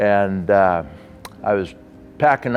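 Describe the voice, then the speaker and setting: A man speaks in a fairly low pitch with a western US accent. Noticeable background noise accompanies him. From Las Vegas, Nevada, US. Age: 60s. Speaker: sports official and donor. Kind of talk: testimony. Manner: halting.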